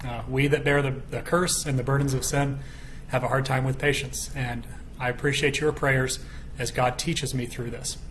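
A man is speaking at a moderate pace. Light background noise can be heard. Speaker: bible study teacher. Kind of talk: bible study teaching. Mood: calm, earnest. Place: home room. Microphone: webcam.

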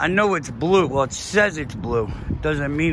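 A man's voice at a fairly slow pace, with ordinary pitch variation, dry sound with no echo, and light background noise. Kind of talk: casual vlog chat. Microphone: phone near.

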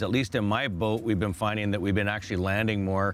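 A man talks in an ordinary speaking voice, fairly low-pitched with fairly even intonation. The sound is dry with no echo, with light background noise. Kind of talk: interview answer. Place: boat.

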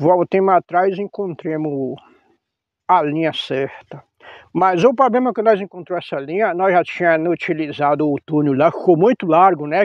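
A man talks at a moderate pace with a high pitch and lively intonation. The sound is dry with no echo, over a quiet background. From Bahia backcountry, Brazil. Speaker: farmer. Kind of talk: casual storytelling. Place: farm machine. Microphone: lapel.

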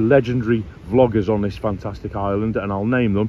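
A man with an unremarkable speaking voice and a fairly low pitch talks at a fairly quick pace with fairly even intonation. The sound is dry with no echo, with light background noise. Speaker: travel vlogger. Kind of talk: casual vlog chat. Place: beach. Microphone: phone near.

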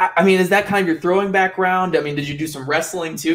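A man talks at a fast pace. His tone is fairly bright.

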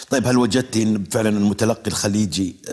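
Using an ordinary speaking voice, a man talks at a fairly quick pace, fairly low in pitch, with ordinary pitch variation. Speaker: TV poetry show host. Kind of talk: TV talk show interview. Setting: studio with audience. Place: studio. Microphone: lapel.

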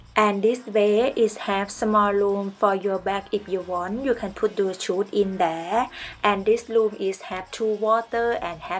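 In fairly even intonation, a woman speaks at a fairly slow pace. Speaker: travel vlogger. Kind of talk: casual vlog chat. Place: home room. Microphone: phone near.

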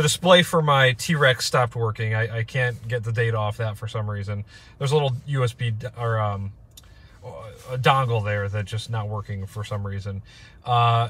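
This man talks at a moderate pace with ordinary pitch variation. The sound is dry, with no echo. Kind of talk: casual vlog chat. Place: car. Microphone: phone near.

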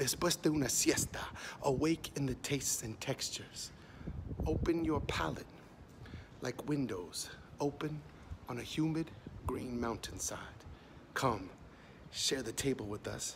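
Whispering at a fairly slow pace, a man leaves long, frequent pauses. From US, Mexican border region. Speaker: poet. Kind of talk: spoken word poetry performance. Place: street. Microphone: phone near.

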